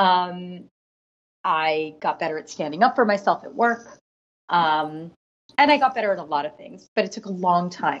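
Speaking at a moderate pace, a woman uses a fairly low pitch and lively intonation, with big swings in loudness. Her speech has long, frequent pauses. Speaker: author and nonprofit co-founder. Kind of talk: interview conversation about grief.

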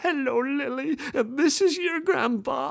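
A man puts on a character voice, extremely high in pitch and shaky. He talks at a fairly slow pace.

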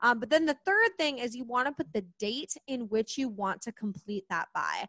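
A woman speaks in an animated, energetic tone that is bright and sharp. The sound is dry and close with no echo. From US Midwest, Kansas City. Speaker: money coach. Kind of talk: podcast interview.

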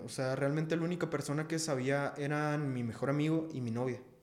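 A man speaks at a moderate pace in a fairly high voice with fairly even intonation, and room echo is audible. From Mexico City. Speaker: rapper. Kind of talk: casual chat.

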